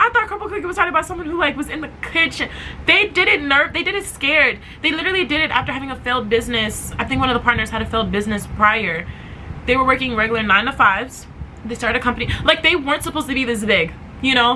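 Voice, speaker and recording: Over noticeable background noise, a woman with a high pitch talks very fast in a raised, projected voice, animated and with very wide pitch swings. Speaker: podcast host. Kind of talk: motivational podcast monologue.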